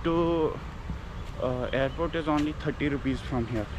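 Noticeable background noise surrounds a man speaking at a moderate pace, with a dry sound and no echo. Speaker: travel vlogger. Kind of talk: casual vlog chat. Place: station. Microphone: phone near.

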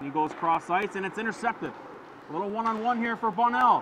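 Noticeable background noise accompanies speech whose pitch moves in an ordinary way. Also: man. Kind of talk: live sports commentary (hockey play-by-play). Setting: hockey arena broadcast. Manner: fast, animated play-by-play delivery that swells with excitement on goals.

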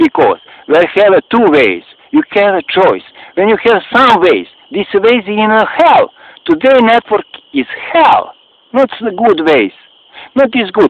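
Speaking at a fairly slow pace with a Serbian accent, the voice leaves long, frequent pauses. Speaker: video blogger. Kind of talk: personal appeal to camera. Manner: halting.

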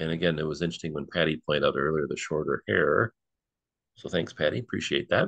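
Very fast and very deep, a man with an American accent and vocal fry speaks with ordinary pitch variation in a dry, close recording with no echo. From Detroit, Michigan. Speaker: history program host. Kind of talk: online history presentation. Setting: Zoom live stream.

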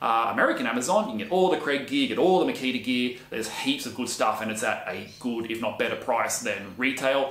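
In a room with audible echo, a man with an Australian accent talks at a fairly quick pace, using lively intonation and hardly any pauses. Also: medium pitch for a man. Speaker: woodworking YouTuber and handyman. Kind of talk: casual vlog monologue. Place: workshop.

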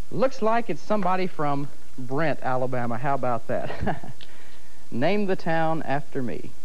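A man with an ordinary speaking voice and lively intonation, at a fairly slow pace over light background noise. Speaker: TV game show host. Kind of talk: local TV game show host patter. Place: studio.

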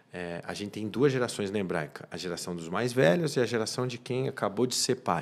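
A man with a fairly low pitch talks at a fairly quick pace. His intonation is lively, and he hardly pauses. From Brazil, São Paulo. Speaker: criminal lawyer and community leader; criminal lawyer. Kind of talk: interview. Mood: warm, reflective. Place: studio. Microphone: studio mic.

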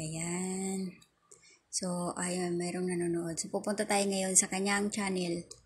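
A woman's somewhat breathy voice at a fairly slow pace. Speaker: YouTube vlogger. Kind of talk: tutorial. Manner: casual, filler-heavy.

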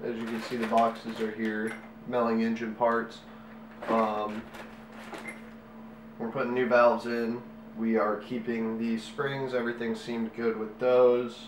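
A man talks at a fairly slow pace in a flat, monotone way, leaving long, frequent pauses. Audible room echo and light background noise surround him. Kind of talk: tutorial. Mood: relaxed, casual. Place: home room.

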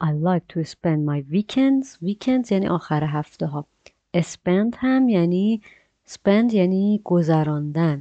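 With a plain, everyday voice, a woman speaks fairly slowly at a fairly low pitch, her intonation lively. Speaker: English teacher. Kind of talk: tutorial.

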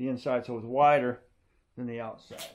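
Under light background noise, a man speaks with monotone, flat intonation. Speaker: DIY reviewer. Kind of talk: tutorial. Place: garage. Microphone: camera far.

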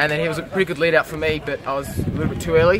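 The speech runs at a very fast pace. Background noise is noticeable. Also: man. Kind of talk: interview answer. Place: street. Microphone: phone near.

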